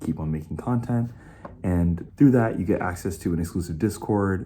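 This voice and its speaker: A man speaks in a very deep, low voice with a dark, mellow tone, lively intonation and a moderate pace. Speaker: video essay creator. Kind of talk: promo for own crowdfunding page.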